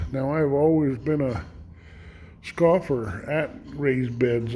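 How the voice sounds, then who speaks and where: A fairly high male voice at a very slow pace, with ordinary pitch variation and audible room echo. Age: 70s. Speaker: homesteader. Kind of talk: casual vlog monologue. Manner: halting, many fillers.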